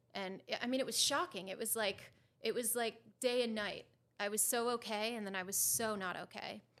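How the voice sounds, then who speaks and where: A woman with an American accent talks at a fairly quick pace in an unremarkable speaking voice, her fairly high pitch showing ordinary pitch variation. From Connecticut, US. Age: 30s. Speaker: guest sharing recovery story. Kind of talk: personal interview, testimony.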